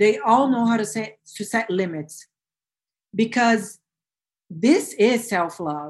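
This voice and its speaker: Speaking in a Portuguese accent, a woman uses a fairly high, somewhat breathy voice. Her pace is very slow, with long, frequent pauses. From Brazil. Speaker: self-love coach, former corporate lawyer. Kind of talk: interview, personal story. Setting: video call.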